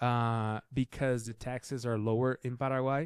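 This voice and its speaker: Recorded very cleanly against a silent background, with a dry, close sound and no echo, a man in a Brazilian accent speaks fairly slowly at medium pitch in a monotone, flat way. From southern Brazil, Curitiba. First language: Portuguese. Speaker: filmmaker. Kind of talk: casual interview chat.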